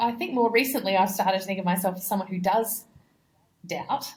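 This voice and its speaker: Somewhat breathy and medium-pitched, a woman speaks with an Australian accent and ordinary pitch variation. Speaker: missionary. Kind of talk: interview conversation. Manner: hesitant, repeats words.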